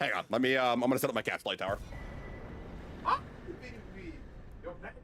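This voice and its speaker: This man talks at a very fast pace with a slight New England accent, a medium pitch and ordinary pitch variation. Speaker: video game streamer. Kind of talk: casual chat.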